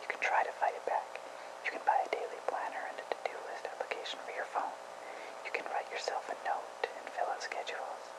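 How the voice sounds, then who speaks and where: Whispering at a fairly quick pace amid noticeable background noise. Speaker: ASMR whisperer. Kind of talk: article reading. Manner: whispered.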